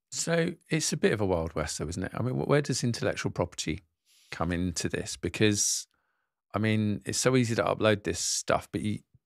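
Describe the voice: A man with a fairly low pitch talks at a fairly quick pace. His intonation is lively, with vocal fry. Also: very clean recording, silent background.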